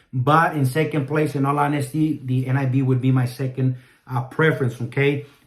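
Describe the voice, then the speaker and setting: A man speaks in a flat monotone, his voice somewhat breathy. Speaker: Bible reviewer. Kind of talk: product review. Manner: halting, many fillers.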